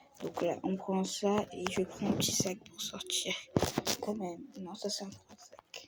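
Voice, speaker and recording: A woman speaks at a very slow pace with fairly even intonation and big swings in loudness, amid noticeable background noise. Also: medium pitch for a woman. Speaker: vlogger. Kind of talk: vlog narration. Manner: casual.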